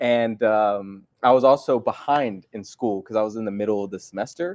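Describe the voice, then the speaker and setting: A man's unremarkable speaking voice with an American accent, fairly low pitch, ordinary pitch variation, big swings in loudness and a moderate pace, against a quiet background. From US East Coast, partly South Carolina, then Las Vegas from age 11-12. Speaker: chamber of commerce secretary, entrepreneur. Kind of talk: casual podcast interview. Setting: live podcast studio.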